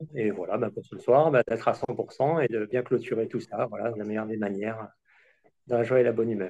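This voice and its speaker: Fairly quick and fairly even in intonation, a man's voice has a dark, mellow tone. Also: medium pitch for a man. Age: 40s. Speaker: apprentice sommelier, contest finalist. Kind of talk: self-introduction. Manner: hesitant, many fillers.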